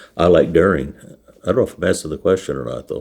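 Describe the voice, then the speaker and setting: A man with a very deep, low voice, vocal fry, lively intonation and a dark, mellow tone. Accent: American. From California. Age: 80s+. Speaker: dairy farmer. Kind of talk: interview testimony.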